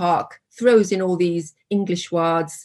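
In a Korean accent, a woman speaks at a medium pitch and a very slow pace. The background is quiet. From South Korea. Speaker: professor. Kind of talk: academic discussion.

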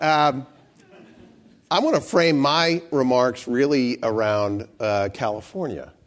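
A man speaks at a very slow pace in a medium pitch. His intonation is lively. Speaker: former candidate, nonprofit institute leader. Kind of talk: panel talk. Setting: live panel event.

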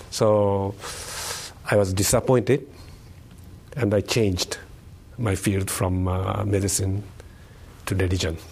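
A man with a fairly low pitch speaks at a fairly slow pace, with fairly even intonation and long, frequent pauses. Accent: Japanese. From Japan, Tokyo. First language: Japanese. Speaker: professor of religious studies. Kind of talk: interview. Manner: halting.

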